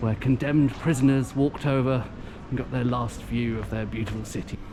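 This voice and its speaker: A man's relaxed voice at a moderate pace, ordinary pitch variation, with audible room echo and noticeable background noise. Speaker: pub tour vlogger. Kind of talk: travel vlog narration. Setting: walking outdoors and in a pub. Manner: relaxed, hesitant with fillers.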